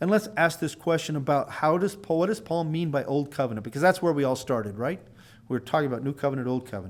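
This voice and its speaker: A man speaks at a very fast pace. His fairly high voice carries lively intonation. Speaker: Bible teacher. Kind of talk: lecture.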